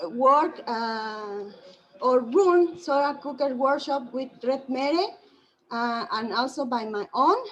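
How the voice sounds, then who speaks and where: Speaking with a Spanish accent, a woman talks at a very slow pace with high pitch and lively intonation. Audible room echo is present. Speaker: solar engineer presenting at conference. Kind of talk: conference presentation. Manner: halting, many fillers.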